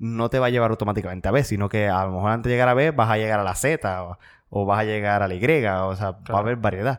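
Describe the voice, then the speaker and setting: Here a man with an ordinary speaking voice and fairly low pitch talks at a fairly quick pace, in a very clean recording with a silent background. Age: 20s. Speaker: podcast co-host and seminarian. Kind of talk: casual chat.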